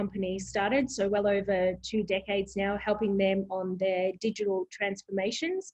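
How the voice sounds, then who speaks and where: Moderate pace from a woman with an Australian accent. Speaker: proptech company president. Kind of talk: interview.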